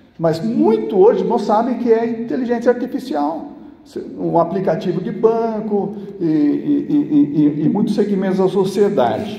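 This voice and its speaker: Against noticeable background noise, a high-pitched man talks fairly slowly with lively intonation. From São Paulo, Brazil. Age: 60s. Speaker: pastor. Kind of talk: church sermon.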